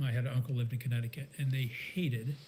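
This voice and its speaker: A man with an American accent speaks very fast at a medium pitch. His voice is somewhat breathy. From Maryland, rural. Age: 60s. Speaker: serial entrepreneur. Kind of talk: interview. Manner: casual, hesitant with fillers.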